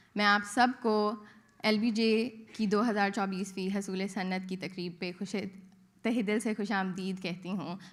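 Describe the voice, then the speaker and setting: Speaking with a Pakistani accent, a woman uses a medium pitch and fairly even intonation. Her pace is fairly slow, with audible room echo. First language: Urdu. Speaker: graduating student. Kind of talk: ceremonial welcome. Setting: auditorium with audience.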